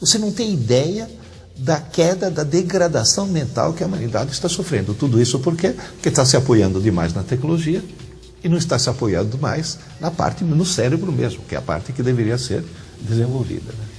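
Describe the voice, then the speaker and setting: Music plays in the background and room echo is audible as a man talks at a fairly quick pace with a fairly high pitch and very wide pitch swings. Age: 60s. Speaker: teacher. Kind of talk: interview.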